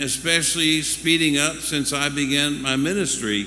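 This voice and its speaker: A man at a moderate pace, with audible room echo and music in the background. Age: 70s. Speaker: pastor. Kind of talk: sermon. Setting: church.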